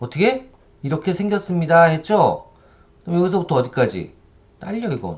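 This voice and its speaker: At a high pitch and a moderate pace, the man speaks with long, frequent pauses. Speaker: university lecturer. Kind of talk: software tutorial lecture. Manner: conversational, rhetorical questions.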